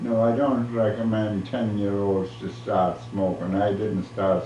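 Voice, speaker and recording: A man's fairly low voice at a fairly slow pace, with ordinary pitch variation, audible room echo and noticeable background noise. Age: 80s+. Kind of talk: casual chat.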